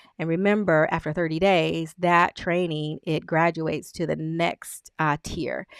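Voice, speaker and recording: A woman with an unremarkable speaking voice talks at a moderate pace and fairly low pitch. The recording is very clean with a silent background, dry and close with no echo. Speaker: business coach. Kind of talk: screen-share tutorial walkthrough. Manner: casual with fillers.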